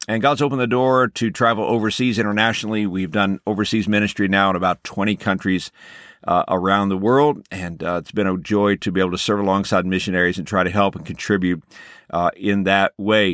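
A fairly low-pitched man at a fairly quick pace, with fairly even intonation. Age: 40s. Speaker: pastor and podcast host. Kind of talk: scripted podcast monologue.

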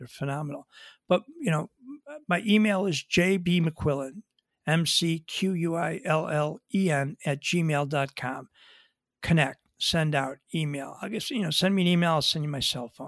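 In a Western New York accent, a man with a fairly high voice speaks at a fairly slow pace with ordinary pitch variation, recorded very cleanly against a silent background with a dry, close sound and no echo. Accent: Western New York American. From Buffalo, New York, US. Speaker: afterlife author, bereaved father. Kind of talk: interview. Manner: emotional, conversational.

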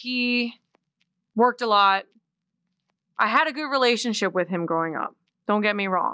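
With an American accent and a bright, sharp tone, a woman speaks with lively intonation, broken by long, frequent pauses. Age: 20s. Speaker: musician. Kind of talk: casual chat.

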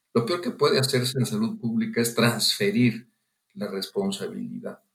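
A man speaks at a moderate pace in a medium-pitched, somewhat breathy voice that swings very widely in pitch. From Mexico, Guanajuato. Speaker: physician and public health official. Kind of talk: interview.

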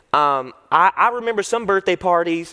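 At a moderate pace, a man with a high pitch and lively intonation speaks in a dry, close sound with no echo, though background noise is noticeable. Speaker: student pastor preaching. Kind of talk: sermon. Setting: church service with live audience. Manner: animated.

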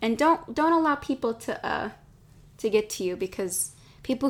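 A woman speaks in a normal speaking voice at a fairly quick pace. Her intonation is lively. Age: 20s. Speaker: podcast host. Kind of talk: casual chat. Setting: Instagram Live stream.

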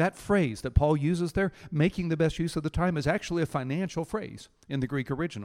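In a normal speaking voice, a man talks at a fairly quick pace with a fairly high pitch, on a very clean recording with a silent background and a dry, close sound with no echo. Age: 60s. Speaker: pastor. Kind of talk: sermon.

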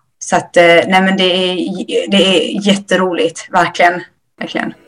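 Moderate pace, ordinary pitch variation and medium pitch from a woman with an unremarkable speaking voice. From Ethiopia. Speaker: nurse. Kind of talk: interview. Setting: remote link.

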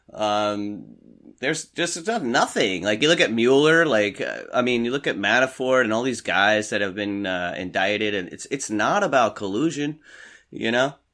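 Over a quiet background, a man with an American accent speaks at a moderate pace, his tone bright and sharp and his intonation lively. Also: medium pitch for a man. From US Northeast, New York City suburbs. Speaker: commercial fisherman. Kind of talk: casual chat.

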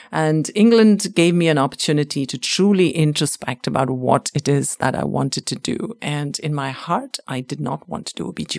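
The voice moves at a fairly quick pace with lively intonation and hardly any pauses. The sound is dry and close with no echo, though noticeable background noise comes through. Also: woman, very deep, low pitch for a woman. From India. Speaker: radiologist and fellowship program director. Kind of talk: interview.

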